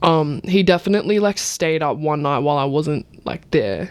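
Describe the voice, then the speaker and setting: In an Australian accent, a woman talks at a moderate pace with a very deep, low pitch. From Melbourne, Australia (Point Cook). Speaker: musician. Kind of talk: casual chat.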